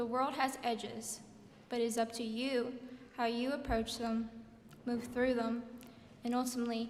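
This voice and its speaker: A woman with an American accent speaks at a moderate pace and high pitch, her intonation monotone and flat, her loudness very even, with long, frequent pauses, audible room echo and noticeable background noise. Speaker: graduating student speaker. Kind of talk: commencement speech. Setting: stage at graduation ceremony. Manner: halting.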